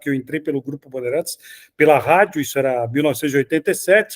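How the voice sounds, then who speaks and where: A plain, everyday voice moves at a fairly quick pace with ordinary pitch variation. The sound is dry and close, with no echo. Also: man. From Brazil, São Paulo city. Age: 60s. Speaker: sports journalist. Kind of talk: interview.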